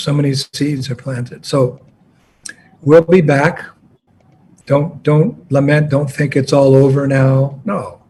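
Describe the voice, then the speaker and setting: In a fairly high, somewhat breathy voice, a man speaks at a fairly slow pace. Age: 70s. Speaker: spiritual teacher. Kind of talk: address to disciples.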